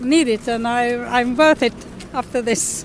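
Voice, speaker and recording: Over noticeable background noise, a woman with a Swedish accent and a high pitch speaks at a fairly slow pace with ordinary pitch variation. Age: 70s. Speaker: retiree interviewee. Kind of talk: documentary interview. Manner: halting.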